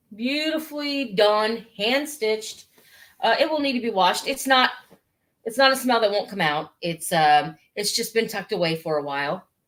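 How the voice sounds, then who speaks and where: Loud and animated, a woman with an American accent speaks at a moderate pace in a fairly high voice with very wide pitch swings. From Missouri. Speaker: online antiques seller. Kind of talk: live sales stream. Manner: animated, hesitant fillers.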